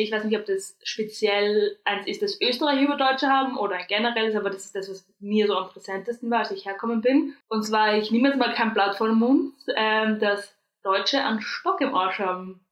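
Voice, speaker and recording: With fairly even intonation and a fairly high voice, a woman talks at a moderate pace. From Austria. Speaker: podcast co-host. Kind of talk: casual chat.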